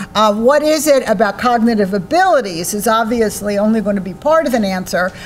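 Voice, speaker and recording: A woman with an American accent and a fairly high pitch, at a fairly quick pace with ordinary pitch variation, amid audible room echo and noticeable background noise. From United States. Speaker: psychology professor. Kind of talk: lecture. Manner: loud.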